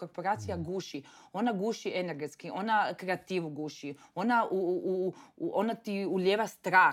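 A woman's medium-pitched voice, a normal speaking voice, with ordinary pitch variation, a moderate pace, and a very clean recording with a silent background. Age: young. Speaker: entrepreneur. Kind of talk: casual interview chat.

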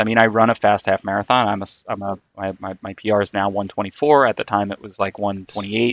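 Over a quiet background, a man with an American accent talks at a fairly low pitch and a moderate pace in a monotone, flat way, with hardly any pauses and big swings in loudness, his sound dry and close with no echo. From New York City, Queens. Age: 30s. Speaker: amateur runner. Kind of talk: casual chat.

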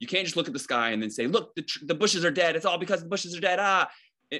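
A man with an American accent, bright and sharp in tone, lively intonation, very clean recording over a silent background. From Northern Virginia. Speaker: conspiracy theory activist. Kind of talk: casual chat.

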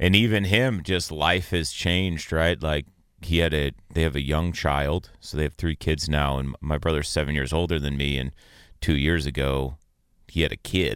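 In a very clean recording with a silent background, a man speaks at a moderate pace in a very deep, low voice with ordinary pitch variation. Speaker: former river guide, outdoors show co-host. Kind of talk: casual chat. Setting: studio.

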